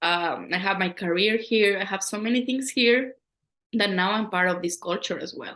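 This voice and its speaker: Against a quiet background, a woman with a Latin American accent speaks in a bright, sharp tone at a moderate pace. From Ecuador. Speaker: poet and educator. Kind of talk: interview.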